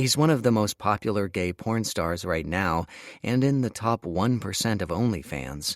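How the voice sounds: Intonation is lively in this naturally read passage.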